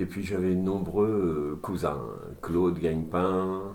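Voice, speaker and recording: A man's very deep, low voice with a dark, mellow tone, very slow and fairly even in intonation, in a room with audible echo. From Normandy, France (Duclair, near Rouen). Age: 60s. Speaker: retired shipyard draughtsman. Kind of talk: oral history interview. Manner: hesitant, many fillers.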